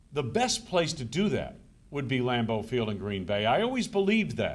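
His pitch rises and falls very widely. The man keeps a moderate pace. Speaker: radio sports broadcaster. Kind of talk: speech to an audience at a conference. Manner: conversational, anecdotal. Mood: warm, reminiscing. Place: hall. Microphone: podium.

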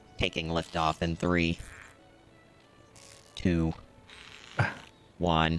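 A man speaks in a put-on, robotic character voice with a very deep, low pitch and monotone, flat intonation. He goes at a very slow pace with long, frequent pauses, and clear music plays in the background. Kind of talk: gaming commentary.

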